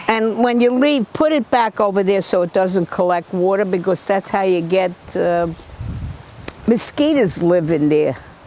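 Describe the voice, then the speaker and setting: The pitch swings very widely at a fairly slow pace. Background noise is noticeable. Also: woman. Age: 80s+. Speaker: local party committeewoman. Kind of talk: documentary interview and casual talk. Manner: outspoken.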